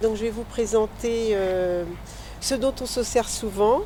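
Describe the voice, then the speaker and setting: Speaking at a very slow pace, a woman's fairly high voice shows ordinary pitch variation. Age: old. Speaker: amateur theatre member. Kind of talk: interview.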